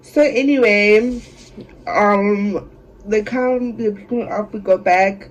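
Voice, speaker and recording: Very slow speech amid noticeable background noise. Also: woman. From South Africa. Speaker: beauty YouTuber. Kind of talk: storytime vlog, casual chat. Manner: animated.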